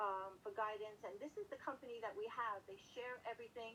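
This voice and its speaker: In a Brooklyn accent, a woman speaks at a moderate pace and fairly high pitch, her passionate tone paired with fairly even intonation. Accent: Brooklyn New York. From New York City, Brooklyn. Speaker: real estate manager. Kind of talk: interview.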